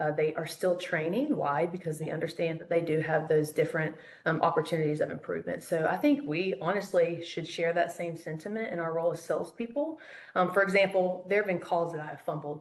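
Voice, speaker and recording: A woman talks at a fairly quick pace with ordinary pitch variation, noticeable noise in the background. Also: fairly low pitch for a woman. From US South, Charlotte, North Carolina. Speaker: phone sales trainer. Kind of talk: interview.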